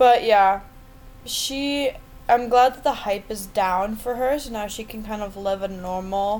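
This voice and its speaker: At a fairly slow pace, the voice shows ordinary pitch variation and big swings in loudness against noticeable background noise. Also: woman, fairly high pitch for a woman. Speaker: podcast co-host. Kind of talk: casual chat.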